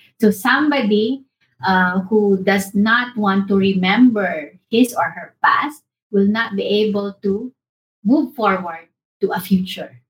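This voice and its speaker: This woman's voice sits at a medium pitch and is somewhat breathy. She speaks at a very slow pace with ordinary pitch variation. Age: 50s. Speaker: academic scholar, co-host. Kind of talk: casual conversation. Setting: remote call.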